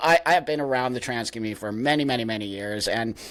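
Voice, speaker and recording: A man with a Californian accent speaks at a very fast pace. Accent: Californian American. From Southern California. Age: 60s. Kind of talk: interview. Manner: casual, animated.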